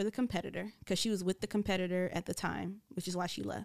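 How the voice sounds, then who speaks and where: Very clean and silent in the background, this recording has a dry, close sound with no echo. A woman uses an ordinary speaking voice at a medium pitch, fairly quick, with fairly even intonation. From US South. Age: 30s. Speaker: radio personality. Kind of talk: casual chat. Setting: studio.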